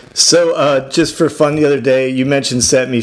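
Over noticeable background noise, a man speaks at a fairly high pitch with ordinary pitch variation. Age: 50s. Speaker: radio host. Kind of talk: casual interview.

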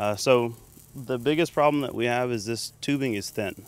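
This man has an ordinary speaking voice with an American accent. His pitch is medium, with ordinary variation. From Texas, Waco area. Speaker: welding teacher. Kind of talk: interview. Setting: outdoors.

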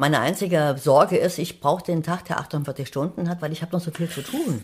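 Over a very clean recording with a silent background, a woman with a very deep, low pitch speaks in an animated, somewhat breathy tone. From Thuringia, eastern Germany. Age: 70s. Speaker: writer. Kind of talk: casual interview.

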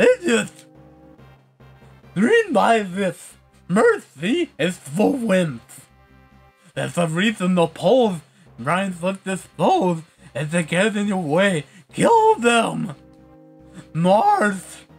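A man uses a put-on character voice with a high pitch, going at a very slow pace with long, frequent pauses as faint music plays in the background. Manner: menacing, cruel.

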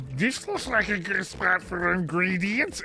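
A man puts on a character voice pitched high, speaking at a fairly slow pace. Background noise is clearly audible.

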